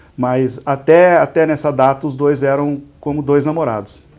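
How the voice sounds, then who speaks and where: At a moderate pace, a man talks with fairly even intonation. His pitch is fairly high. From Brazil, interior of São Paulo state (Igarapava, near Minas Gerais). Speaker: business executive, civil engineer. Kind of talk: interview. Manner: halting, many repetitions and fillers.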